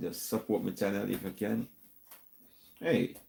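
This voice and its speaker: In a Jamaican accent, a man speaks at a moderate pace. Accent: Jamaican patois-inflected English. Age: 70s. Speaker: YouTube talk show host. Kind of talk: casual live-stream sign-off.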